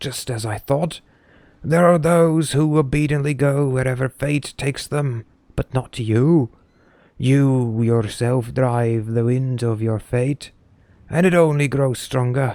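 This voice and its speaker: A man uses a put-on character voice at a medium pitch. His delivery is fairly slow with fairly even intonation. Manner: theatrical, knowing.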